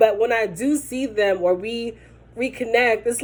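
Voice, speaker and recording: A woman speaks loudly in an animated tone. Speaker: vlogger. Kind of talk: casual chat.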